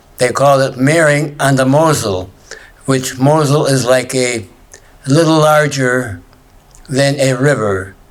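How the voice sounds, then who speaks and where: Amid audible room echo, a man speaks at a fairly slow pace with long, frequent pauses, medium pitch, ordinary pitch variation, and very even loudness. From Germany. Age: 90s. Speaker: Holocaust survivor. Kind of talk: testimony.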